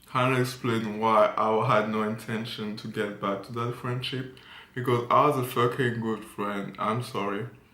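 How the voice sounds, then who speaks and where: With a French accent and fairly even intonation, the speaker is heard over noticeable background noise and audible room echo. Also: man. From France. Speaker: fashion model and vlogger. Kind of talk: casual story time vlog.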